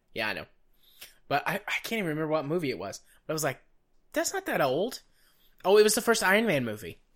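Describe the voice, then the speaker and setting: A man with vocal fry, a very fast pace and very wide pitch swings. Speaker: podcast co-host. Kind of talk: casual chat. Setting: Skype call.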